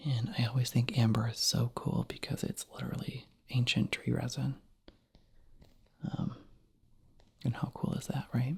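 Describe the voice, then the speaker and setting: The speaker is soft-spoken, with a relaxed tone and a moderate pace. Long pauses come often. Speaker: ASMR creator. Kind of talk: soft-spoken ASMR chat to camera. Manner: soft-spoken, relaxed, rambling.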